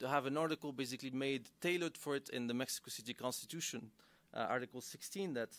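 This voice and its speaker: In a very clean recording with a silent background, a man speaks at a fairly high pitch with ordinary pitch variation. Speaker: researcher giving a seminar talk. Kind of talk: academic seminar presentation. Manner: fast; halting, many fillers and restarts.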